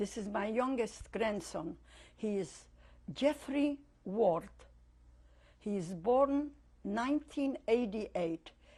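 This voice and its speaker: A woman speaks very slowly in a fairly high, somewhat breathy voice with a dark, mellow tone. Her intonation is lively, and long pauses come often. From Poland, Lodz. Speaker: Holocaust survivor. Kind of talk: oral history interview.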